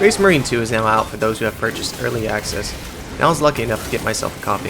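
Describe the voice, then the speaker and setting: Very fast speech from a man, with music in the background. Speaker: gaming youtuber. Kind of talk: game review commentary.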